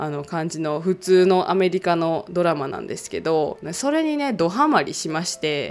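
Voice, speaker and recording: Speaking at a moderate pace with hardly any pauses, a woman with an unremarkable speaking voice uses lively intonation at a fairly low pitch. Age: 30s. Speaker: podcast host. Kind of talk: casual solo talk.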